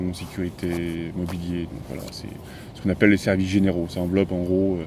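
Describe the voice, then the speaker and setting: Speaking at a fairly quick pace, a man keeps a monotone, flat intonation at a very deep, low pitch. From central France, Auvergne (Moulins area). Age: 30s. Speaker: motorcycle vlogger. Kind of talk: interview.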